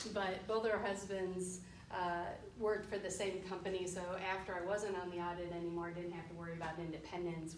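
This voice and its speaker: Speaking in a Western New York accent at a fairly quick pace, a woman with a fairly low pitch and fairly even intonation is heard with audible room echo and noticeable background noise. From Western New York, Rochester. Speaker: forensic accountant. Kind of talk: guest talk to students. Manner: casual, with fillers.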